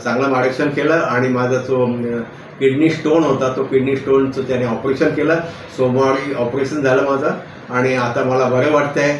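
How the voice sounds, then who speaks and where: A man's medium-pitched voice in a monotone, flat intonation, with noticeable background noise. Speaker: retired government employee. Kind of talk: patient testimonial.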